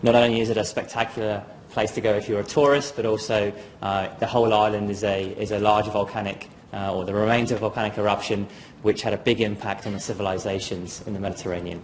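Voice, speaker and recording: A very fast-talking man with a British accent, music playing in the background. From southern England, Dorset. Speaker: geoscience graduate. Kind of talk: presentation. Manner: halting, many fillers.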